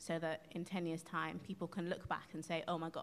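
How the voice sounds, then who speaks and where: At a fairly quick pace, a woman with a fairly low pitch speaks with a London accent. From London, Hackney. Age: 20s. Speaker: soul singer. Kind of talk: casual chat. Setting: live radio broadcast from a concert venue.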